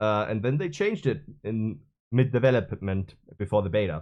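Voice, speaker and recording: This man speaks at a fairly low pitch with a German accent. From Germany (Bavaria). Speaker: gaming streamer. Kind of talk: unscripted rant. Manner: halting.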